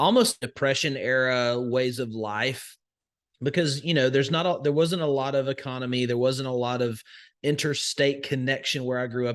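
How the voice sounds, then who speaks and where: At a moderate pace, a man with a Southern US accent speaks at medium pitch with ordinary pitch variation. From US South, northwest Alabama. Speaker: crypto investor and educator. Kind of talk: podcast interview. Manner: many fillers and restarts.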